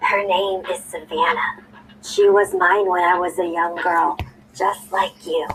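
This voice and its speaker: A croaky, put-on character voice speaks at a fairly slow pace. Music plays in the background. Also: female-sounding voice, medium pitch for a woman. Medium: read story.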